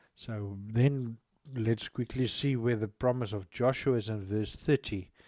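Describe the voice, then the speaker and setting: A man's dark, mellow voice in a South African accent, medium in pitch, fairly slow and fairly even in intonation. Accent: South African (Afrikaans) English. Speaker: lay preacher and online radio broadcaster. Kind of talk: Bible teaching broadcast. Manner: halting, with frequent restarts.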